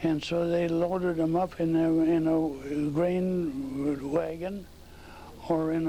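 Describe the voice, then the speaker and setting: With an American accent, a man talks in a fairly high, monotone voice with flat intonation and audible room echo. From North Dakota, US Upper Midwest. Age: 90s. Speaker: oral history interviewee. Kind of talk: oral history interview. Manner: halting.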